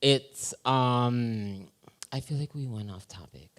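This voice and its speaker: A man's unremarkable speaking voice at a medium pitch with ordinary pitch variation, on a very clean recording with a silent background. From Western Massachusetts (Holyoke), Puerto Rican family. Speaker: modeling talent manager. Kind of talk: casual comedic interview on a live show. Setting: live show with audience.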